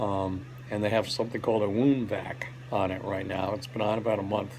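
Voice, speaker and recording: Intonation stays fairly even at a moderate pace. There is noticeable background noise. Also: man. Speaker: hospital patient giving health update. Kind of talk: personal video update. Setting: hospital rehab room. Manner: halting, many fillers.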